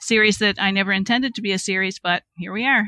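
In a very clean recording with a silent background and a dry, close sound with no echo, a woman with a Cape Breton accent talks at a fairly quick pace, her medium-pitched voice bright and sharp in tone with ordinary pitch variation. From Cape Breton, Nova Scotia. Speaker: speculative fiction writer. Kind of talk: casual chat.

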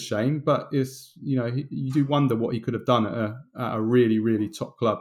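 A man speaks at a medium pitch with ordinary pitch variation in an unremarkable speaking voice. His pace is fairly quick. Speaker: football podcast co-host. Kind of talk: casual chat.

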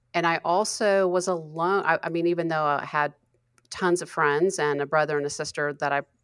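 On a very clean recording, silent background, a woman with an ordinary speaking voice talks at a moderate pace in a fairly low pitch. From US South, Western North Carolina. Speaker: author and creativity coach. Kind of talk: interview.

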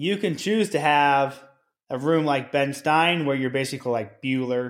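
A man speaks in a plain, everyday voice at medium pitch with ordinary pitch variation. The recording is very clean, with a silent background. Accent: American. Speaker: school principal and podcast co-host. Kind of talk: casual conversational podcast chat.

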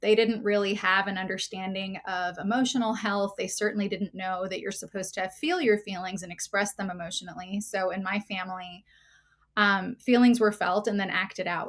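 A woman's medium-pitched voice in an American accent, an ordinary speaking voice at a fairly quick pace with fairly even intonation. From New Jersey. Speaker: counselor. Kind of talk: interview.

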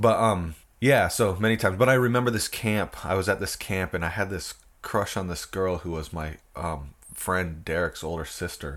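The recording is very clean, with a silent background. A man with an American accent speaks in a very deep, low voice. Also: ordinary pitch variation, moderate pace. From US Northwest, Port Angeles, Washington. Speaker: punk musician and artist. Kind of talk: casual interview chat.

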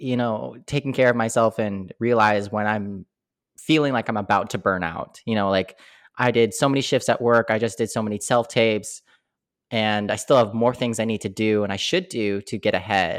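The recording is very clean, with a silent background. A man talks at a moderate pace and medium pitch, with ordinary pitch variation. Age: 20s. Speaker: podcast host and actor. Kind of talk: casual chat.

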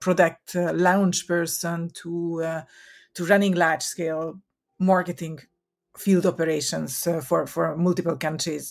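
A woman with a Hungarian accent speaks at a fairly low pitch and a fairly slow pace with fairly even intonation, in a very clean recording with a silent background. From Hungary. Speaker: marketing consultant. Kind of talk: interview. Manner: hesitant, many fillers.

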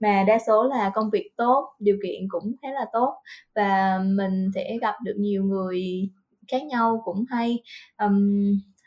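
The voice belongs to a woman and sits fairly high. She talks very slowly. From Vietnam, Central Highlands (Lâm Đồng, near Đà Lạt). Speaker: Vietnamese expat worker. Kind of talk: casual interview chat. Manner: hesitant, many fillers.

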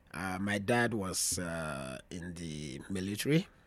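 A man's very deep, low voice with vocal fry comes through in a very clean recording with a silent background. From Ghana, Volta region. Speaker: traditional dancer and drummer. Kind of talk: casual chat. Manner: halting.

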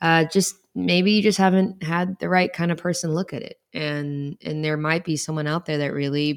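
Using a normal speaking voice, a woman talks at a fairly low pitch and moderate pace with ordinary pitch variation and hardly any pauses, on a very clean recording with a silent background. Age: 30s. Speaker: periodontist, podcast co-host. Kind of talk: casual chat.

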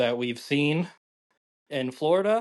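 Against a quiet background, a man with a Western Canadian accent speaks at a fairly slow pace and a fairly high pitch. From Calgary, Canada. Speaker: chef. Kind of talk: casual chat.

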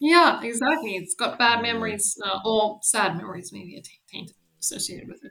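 With an ordinary speaking voice, a woman talks at a moderate pace and fairly high pitch, her intonation lively and her loudness rising and falling sharply. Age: 20s. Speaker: podcast host. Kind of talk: casual chat.

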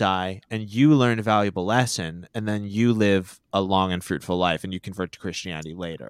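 A man speaks in an ordinary speaking voice with an American accent, at a moderate pace with ordinary pitch variation. The recording is very clean with a silent background, and the sound is dry and close with no echo. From Pennsylvania, US. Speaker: podcast guest, comedy podcaster. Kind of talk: casual chat.

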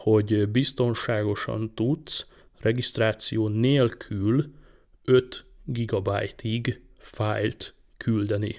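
A man talks very slowly at a medium pitch with fairly even intonation. The recording is very clean, with a silent background. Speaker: tech podcast host. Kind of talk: casual tech chat.

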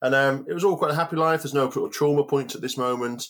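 This is a man speaking. He has a Cumbrian accent. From Cumbria, northern England. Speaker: outdoor cook and inspirational speaker. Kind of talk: interview, personal story.

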